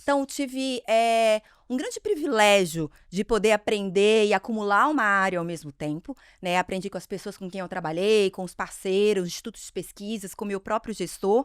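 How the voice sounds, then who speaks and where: A woman talks with a Minas Gerais accent, her loudness swinging widely. The sound is dry and close, with no echo. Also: medium pitch for a woman, ordinary pitch variation, moderate pace. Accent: mineiro. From Minas Gerais, Brazil (Ipatinga). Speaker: marketing executive. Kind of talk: interview podcast.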